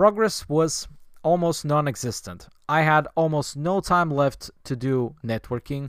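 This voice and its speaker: A man with a plain, everyday voice at a fairly slow pace, on a very clean recording with a silent background. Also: fairly high pitch for a man, lively intonation. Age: 20s. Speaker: podcast host. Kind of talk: solo monologue podcast.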